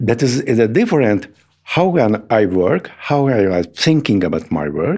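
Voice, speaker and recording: With a non-native accent, a man talks in a fairly low pitch that swings very widely. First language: Hungarian. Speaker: sculptor and art teacher. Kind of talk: interview conversation. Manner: halting, searching for words.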